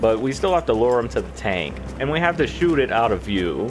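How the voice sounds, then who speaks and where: A man's pitch swings very widely as he talks at a moderate pace with music in the background. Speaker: video game commentator. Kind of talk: gameplay walkthrough commentary. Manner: casual, conversational; occasional stuttering.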